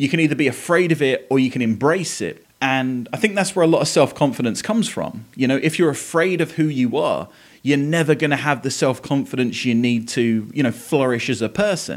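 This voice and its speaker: A man with an Essex accent talks fairly quickly with hardly any pauses, his fairly high voice carrying lively intonation on a very clean recording with a silent background. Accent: southern English (Essex). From Essex, England. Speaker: podcast host. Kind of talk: casual monologue.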